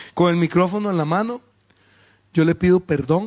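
In an animated tone, a man speaks at a moderate pace with ordinary pitch variation. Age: 50s. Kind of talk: sermon.

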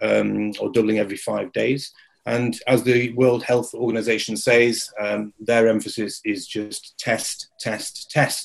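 A man with an English accent speaks at a fairly slow pace. His loudness swings widely. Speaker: industry media company owner. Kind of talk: webinar presentation. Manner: halting, many filler words.

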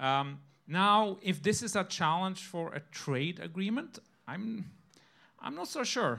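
A man with a Norwegian accent projects a raised voice at a high pitch in a bright, sharp tone. He speaks at a fairly slow pace on a very clean recording with a silent background. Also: lively intonation. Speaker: economics professor. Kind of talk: panel discussion. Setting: stage with audience.

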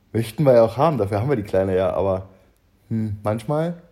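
This man's voice has a dark, mellow tone and medium pitch with ordinary pitch variation, captured in a very clean recording with a silent background. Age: 30s. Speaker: podcast co-host. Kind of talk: casual chat.

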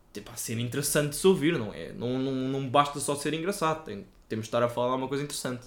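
A man with a European Portuguese accent, fairly high in pitch, ordinary pitch variation, a very fast pace and big swings in loudness. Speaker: podcast co-host. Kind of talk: casual chat.

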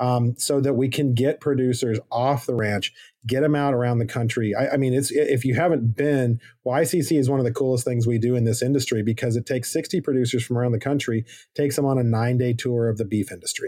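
Very fast in pace, a man of medium pitch speaks in a dark, mellow tone at very even loudness, in a very clean recording with a silent background. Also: fairly even intonation. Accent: American. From Arizona. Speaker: public lands policy director. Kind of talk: interview.

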